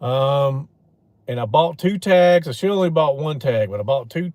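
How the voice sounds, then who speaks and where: In a very clean recording with a silent background, a man with a Louisiana accent speaks at a moderate pace and fairly high pitch with ordinary pitch variation. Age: 40s. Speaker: outdoors streamer, hunter. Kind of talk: casual live stream chat. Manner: casual, meandering with fillers.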